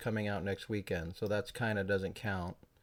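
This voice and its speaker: A man's voice, very clean recording, silent background. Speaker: YouTuber. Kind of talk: casual talk to camera. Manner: fast.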